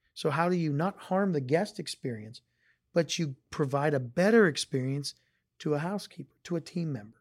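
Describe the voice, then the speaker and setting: A man with an unremarkable speaking voice and an American accent speaks at a fairly high pitch and moderate pace, in a very clean recording with a silent background and a dry, close sound with no echo. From Northeast Ohio. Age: 40s. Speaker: hotel company executive. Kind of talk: interview.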